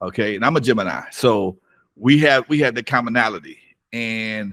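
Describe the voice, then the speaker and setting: Very clean, silent-background recording of a man with an American accent, a normal speaking voice, medium pitch, ordinary pitch variation and a moderate pace. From US West Coast, Compton, California. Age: 60s. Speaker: hip-hop DJ and club owner. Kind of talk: interview.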